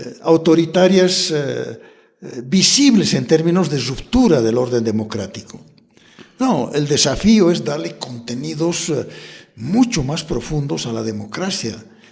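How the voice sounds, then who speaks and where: At a fairly slow pace, a man talks with a fairly high pitch and very wide pitch swings. The room echo is audible. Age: 70s. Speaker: politician. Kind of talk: interview.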